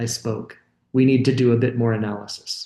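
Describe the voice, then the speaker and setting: This man's dark, mellow voice is somewhat breathy and moves at a fairly quick pace. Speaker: university lecturer. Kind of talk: lecture. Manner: halting, with fillers and restarts.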